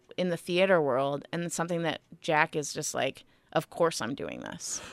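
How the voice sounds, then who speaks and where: A woman's fairly low voice at a moderate pace, ordinary pitch variation, dry and close with no echo, on a very clean recording with a silent background. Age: 30s. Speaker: singer-songwriter. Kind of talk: casual interview. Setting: radio studio.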